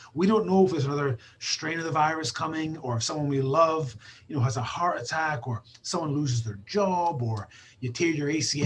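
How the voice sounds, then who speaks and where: A man speaks with a Scottish accent at a fairly high pitch. His pace is fairly quick. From Scotland. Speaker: basketball trainer. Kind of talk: casual chat.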